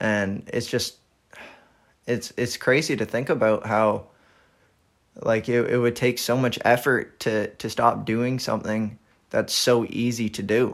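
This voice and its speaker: The speech moves fairly slowly with fairly even intonation and long, frequent pauses. The recording is very clean, with a silent background. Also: man, medium pitch for a man. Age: 20s. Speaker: solo podcaster. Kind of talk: personal monologue. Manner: halting, many repetitions.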